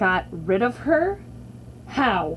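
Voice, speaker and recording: A put-on character voice comes through over clear background noise. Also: woman. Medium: read story.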